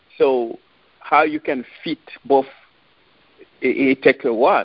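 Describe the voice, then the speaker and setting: A man speaks with a French accent and lively intonation. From France, Paris. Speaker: author and relationship advice guest. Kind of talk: casual interview. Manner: halting.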